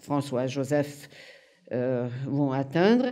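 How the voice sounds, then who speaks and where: With a Hungarian accent, the speaker talks at a very slow pace in a dark, mellow tone. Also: woman, quiet background. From Hungary (Budapest). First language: Hungarian (speaking French). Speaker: museum curator and literary historian; historian lecturer. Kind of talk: lecture. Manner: halting. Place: hall.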